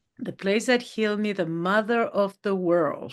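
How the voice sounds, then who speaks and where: A woman with a Spanish accent speaks with ordinary pitch variation against a quiet background. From Peru. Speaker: mountaineer and author. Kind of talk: interview.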